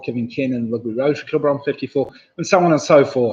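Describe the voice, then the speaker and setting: At a very fast pace, a man speaks with a medium pitch. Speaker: quiz host. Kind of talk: live online quiz hosting. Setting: live stream from home computer. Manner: mumbling; casual, hesitant.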